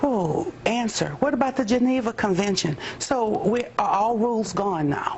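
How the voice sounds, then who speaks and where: Over noticeable background noise, a woman speaks at a moderate pace and fairly high pitch, with very wide pitch swings and very even loudness. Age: 60s. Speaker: activist. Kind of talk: TV news interview.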